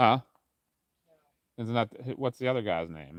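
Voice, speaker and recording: A loud man in a very clean recording with a silent background. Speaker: paranormal investigator livestreamer. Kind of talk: casual livestream chat.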